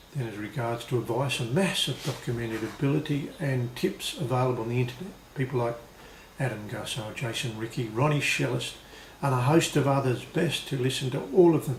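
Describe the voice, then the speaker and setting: Speaking at a fairly quick pace with an Australian accent, a man with a medium pitch and ordinary pitch variation is heard over noticeable background noise and audible room echo. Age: 60s. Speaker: blues harmonica player and video blogger. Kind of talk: video blog monologue read from prompt sheets. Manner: read from notes.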